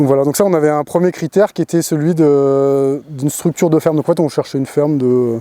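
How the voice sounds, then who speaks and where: Very fast and dry, close with no echo, a man's fairly high voice carries a dark, mellow tone and fairly even intonation. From Paris region, France. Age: 30s. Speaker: dairy farmer. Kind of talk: interview testimony. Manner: halting, many hesitations.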